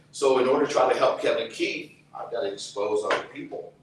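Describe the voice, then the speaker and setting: A man talks at a moderate pace in a space with audible room echo and noticeable background noise. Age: 60s. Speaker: activist, brother of a prisoner. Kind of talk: testimony. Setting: outdoors.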